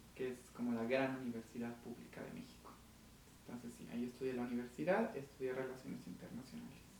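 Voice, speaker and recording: Amid noticeable background noise, a man speaks at a very fast pace with big swings in loudness. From Mexico (Aguascalientes). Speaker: diplomat. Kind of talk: interview.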